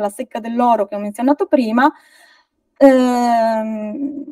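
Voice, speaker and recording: A woman's dark, mellow voice at a moderate pace, with ordinary pitch variation, a dry echo-free sound and a quiet background. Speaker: folklore researcher; guest. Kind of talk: lecture. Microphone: video call.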